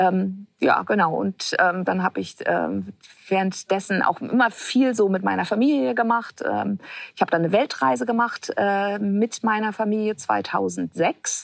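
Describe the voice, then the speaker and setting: A woman at a fairly slow pace, in a dry, close sound with no echo. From Hamburg, northern Germany. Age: 50s. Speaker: social entrepreneur and author. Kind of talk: casual interview. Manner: hesitant, many fillers.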